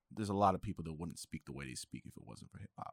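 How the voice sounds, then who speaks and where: A man speaks with lively intonation and vocal fry. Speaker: podcast co-host and sound engineer. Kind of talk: casual chat. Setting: recording studio.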